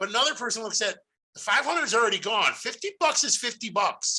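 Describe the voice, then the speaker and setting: Loud and animated, a man speaks at an extremely high pitch in a bright, sharp tone. His intonation is lively and his pace fairly quick. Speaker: podcast host. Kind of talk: casual monologue.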